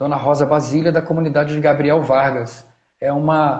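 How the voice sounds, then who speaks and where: With audible room echo, a man speaks in a fairly high, somewhat breathy voice. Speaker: historian and agroecology researcher. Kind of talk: live stream talk.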